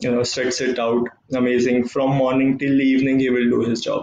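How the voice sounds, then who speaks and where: A somewhat breathy man talks at a moderate pace. Room echo is audible, with light background noise. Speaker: tennis coach giving a talk. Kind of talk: motivational talk. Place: home room. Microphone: webcam.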